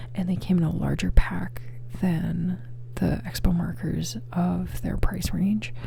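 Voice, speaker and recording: Soft-spoken delivery at a fairly slow pace over noticeable background noise. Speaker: ASMR creator. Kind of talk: ASMR rambling talk to camera. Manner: soft-spoken, rambling.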